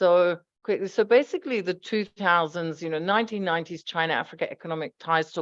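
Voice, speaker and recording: In a dry, close sound with no echo and a quiet background, a woman with an Australian accent talks at a moderate pace, her fairly low pitch held in fairly even intonation. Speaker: economics researcher. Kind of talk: conference presentation.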